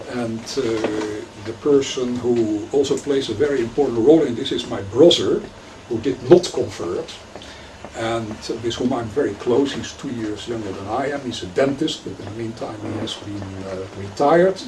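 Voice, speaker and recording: Loudness swings widely in this clip, with audible room echo and noticeable background noise. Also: man, medium pitch for a man, ordinary pitch variation, moderate pace. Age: 60s. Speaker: rabbi and lecturer. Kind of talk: lecture. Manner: halting, many fillers.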